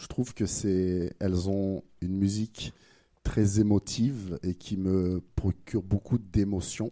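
Speaking at a very slow pace, a man has a fairly low pitch, fairly even intonation and a dark, mellow tone. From France. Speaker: podcast host. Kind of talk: casual interview. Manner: hesitant, many fillers.

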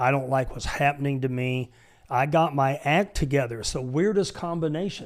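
A man with an American accent speaks in a normal speaking voice, fairly high in pitch, at a moderate pace with ordinary pitch variation. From Michigan, US. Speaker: pastor and military veteran. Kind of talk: casual chat. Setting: studio.

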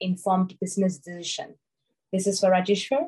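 This voice is somewhat breathy. It belongs to a woman. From Malaysia. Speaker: panel moderator. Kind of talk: panel discussion.

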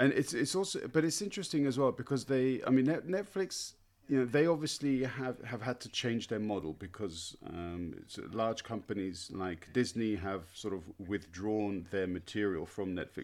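Very clean and silent in the background, this recording features a man at a medium pitch. He speaks at a moderate pace with very wide pitch swings. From Britain. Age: 40s. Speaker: podcast host and language teacher. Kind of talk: casual interview. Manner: halting, many fillers.

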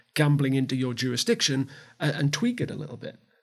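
With a Geordie accent, a man talks at a very fast pace in a fairly high pitch and sounds somewhat breathy. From Newcastle, north-east England. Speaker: gaming industry consultant. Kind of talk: panel discussion.

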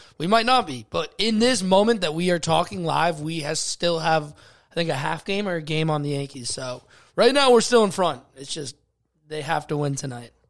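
With a normal speaking voice, a man talks at a moderate pace in a fairly high pitch, his intonation lively and the recording very clean over a silent background. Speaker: podcast host. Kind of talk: casual banter. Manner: joking, interrupting.

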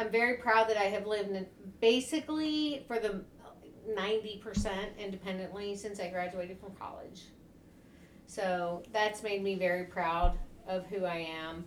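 A woman with an American accent talks at a medium pitch and moderate pace, her pitch varying in an ordinary way and her loudness swinging widely over noticeable background noise. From US South, Tennessee. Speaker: podcast co-host. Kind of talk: casual chat.

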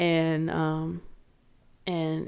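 A woman speaks. She has an American accent. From United States. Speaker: podcast co-host. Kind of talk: casual chat.

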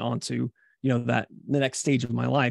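At a very fast pace, a man talks at a medium pitch, the sound dry and close with no echo. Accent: American. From US Midwest (Columbia, Missouri). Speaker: YouTuber and content coach. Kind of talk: casual interview.

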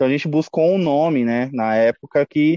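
The tone is dark and mellow at a moderate pace, with fairly even intonation. The sound is dry and close with no echo. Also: man. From Brazil, Mauá, São Paulo state. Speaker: punk rock band vocalist. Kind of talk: casual interview.

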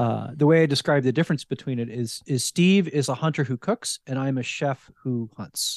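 An unremarkable speaking voice with an American accent and ordinary pitch variation moves at a moderate pace with hardly any pauses, recorded with a dry, close sound with no echo against a quiet background. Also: man, fairly high pitch for a man. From New Jersey, US. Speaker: wild game chef. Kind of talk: casual interview.

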